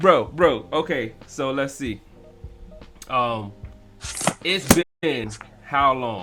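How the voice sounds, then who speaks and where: With music in the background, a man with an American accent speaks at a very slow pace, using lively intonation and long, frequent pauses. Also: medium pitch for a man. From US South, Georgia. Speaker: live stream host. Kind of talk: casual chat. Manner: animated.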